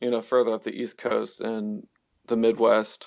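The background stays quiet. A man talks in an American accent. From Virginia, US. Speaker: rock musician. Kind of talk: casual interview.

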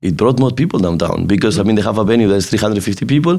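In a Spanish accent, a man with a fairly low pitch and a dark, mellow tone speaks very fast with lively intonation on a very clean recording with a silent background. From Spain. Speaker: nightclub and restaurant owner. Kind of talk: casual interview.

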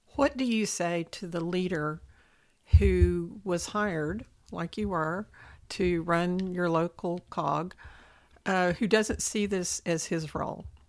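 A woman with a West Texas accent, fairly low pitch, ordinary pitch variation and a very slow pace. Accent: West Texas drawl. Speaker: podcast host. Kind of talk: interview.

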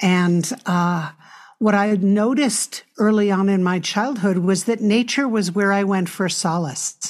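A woman with an American accent, a plain, everyday voice, medium pitch, ordinary pitch variation, a fairly slow pace and very even loudness, on a very clean recording with a silent background. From US Northeast, New York City. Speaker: nonprofit leader and author. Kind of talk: interview conversation.

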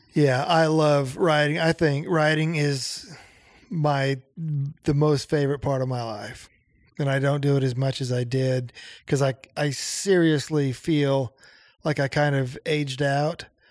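Speaking with an American accent, a man has a plain, everyday voice, fairly high in pitch, with fairly even intonation at a fairly slow pace. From Nebraska. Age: 50s. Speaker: songwriter and music producer. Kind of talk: casual chat. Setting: home basement studio.

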